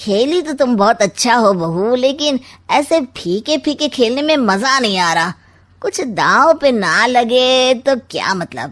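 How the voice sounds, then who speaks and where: At a fairly slow pace, the speaker puts on a cartoonish character voice. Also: woman, high pitch for a woman. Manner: sly, mocking, smug.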